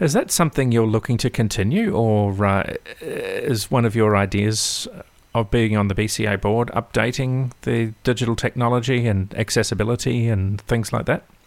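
A man with an Australian accent talks at a moderate pace. His loudness stays very even and his intonation fairly even. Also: medium pitch for a man. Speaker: podcast host. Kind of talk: interview.

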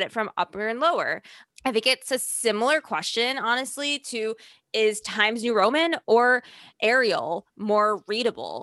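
A woman with a fairly high pitch and a bright, sharp tone, at a moderate pace with ordinary pitch variation, in a dry, close recording with no echo and a quiet background. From Chicago, US Midwest. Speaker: podcast host. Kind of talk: casual chat.

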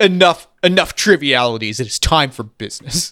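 Putting on a character voice, a man speaks at a moderate pace in a rumbling, fairly high pitch. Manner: stern, dismissive.

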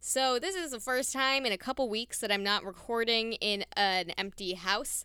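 A woman's fairly high, bright, sharp voice with an animated tone at a moderate pace, dry and close with no echo, on a very clean recording with a silent background. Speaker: podcast host and nature center educator. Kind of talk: casual solo monologue.

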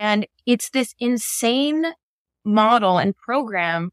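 A woman speaks at a fairly high pitch with a Canadian accent, in a dry, close sound with no echo. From northern Ontario, Canada. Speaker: playwright. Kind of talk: interview.

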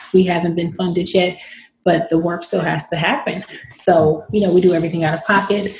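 Speaking in a Bay Area accent at a fairly quick pace, a woman with a fairly low pitch keeps a fairly even intonation over noticeable background noise. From San Francisco, Bay Area. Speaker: professional boxer. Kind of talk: interview. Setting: video recording.

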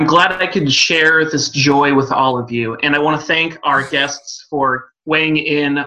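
Here a man with an American accent speaks at a fairly slow pace. His tone is bright and sharp. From US West Coast. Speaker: music podcast co-host. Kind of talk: casual chat.

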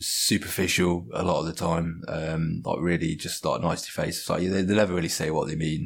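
A man talks at a moderate speed in a very clean recording where the background is completely silent. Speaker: podcast guest. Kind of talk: casual chat. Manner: casual, self-deprecating.

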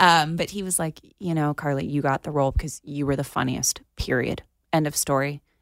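A woman with an American accent and a very deep, low pitch, at a fairly quick pace, in a dry, close sound with no echo. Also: very clean recording, silent background. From Florida. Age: 30s. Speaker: actress. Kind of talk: interview. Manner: animated.

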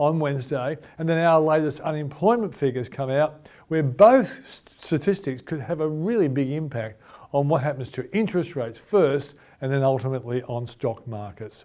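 Over a silent background in a very clean recording, a man with an Australian accent speaks at a moderate pace. His fairly high voice has a dark, mellow tone and lively intonation. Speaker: finance show host. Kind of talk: interview; show introduction.

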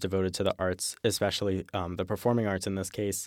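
On a very clean, dry, close recording with no echo and a silent background, a man with an ordinary speaking voice talks at a fairly quick pace in a fairly low pitch. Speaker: student opinion writer. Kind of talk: interview.

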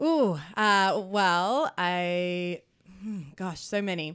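An Australian accent from a woman, fairly low in pitch, with fairly even intonation. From Australia, New South Wales. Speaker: comedy producer and manager. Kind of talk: casual interview chat.

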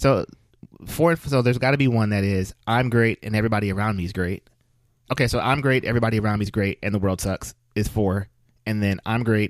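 A man's animated voice at a very fast pace, recorded with a dry, close sound and no echo. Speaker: podcast co-host. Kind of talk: casual chat. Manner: jokey, animated.

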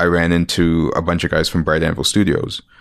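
Here a man speaks with a Canadian accent. His pitch is very deep and low. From Toronto area, Canada (born Winnipeg). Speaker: comic book artist. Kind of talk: interview. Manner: halting.

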